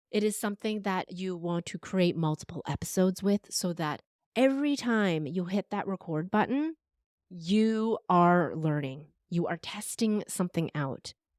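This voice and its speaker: In a very clean recording with a silent background and a dry, close sound free of echo, a woman with a normal speaking voice talks at a moderate pace and medium pitch. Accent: Canadian. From Canada, Vancouver. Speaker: podcast strategist and voice coach. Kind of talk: interview conversation.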